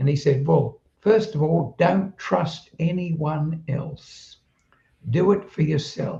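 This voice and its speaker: With vocal fry and a dark, mellow tone, the speaker talks at a very slow pace with ordinary pitch variation. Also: man. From southeast London, England, then Australia from age 15. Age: 80s+. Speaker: retired telecommunications worker, automatic writer. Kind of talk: interview storytelling. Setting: live stream conversation.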